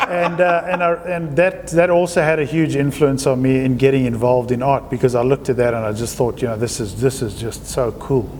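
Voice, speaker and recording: A man with a South African accent at a moderate pace, ordinary pitch variation, and noticeable background noise. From South Africa, Johannesburg. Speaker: artist. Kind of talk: interview.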